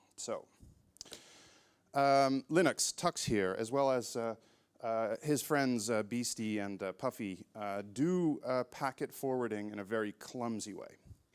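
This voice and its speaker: On a very clean recording with a silent background and a dry, close sound with no echo, a man with an American accent speaks at a fairly slow pace and medium pitch, with ordinary pitch variation, in a plain, everyday voice. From California. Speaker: network engineer. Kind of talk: conference talk. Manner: casual, many filler words.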